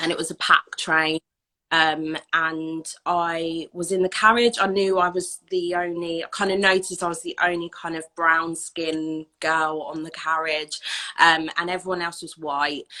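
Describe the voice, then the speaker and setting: Speaking in an English accent at a fairly slow pace, a woman has a bright, sharp tone, a fairly low pitch and monotone, flat intonation. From southern England. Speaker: anti-racism educator. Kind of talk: interview.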